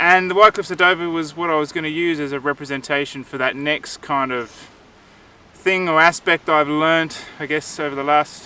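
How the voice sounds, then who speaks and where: A man's fairly high pitch, with ordinary pitch variation and a moderate pace. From Australia. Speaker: vlogger. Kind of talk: casual vlog talk to camera. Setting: outdoors. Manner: casual, hesitant with fillers.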